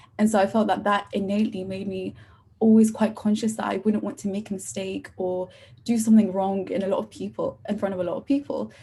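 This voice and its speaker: A woman talks at a very fast pace in a somewhat breathy voice with a dark, mellow tone. Her pitch is medium and her intonation fairly even. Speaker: university student. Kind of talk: podcast interview.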